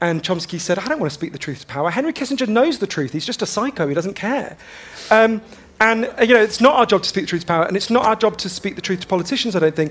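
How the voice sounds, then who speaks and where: Speaking at a very fast pace, a man with a high pitch uses lively intonation. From London, England. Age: 30s. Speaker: journalist and author. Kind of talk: book festival talk. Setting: stage with audience.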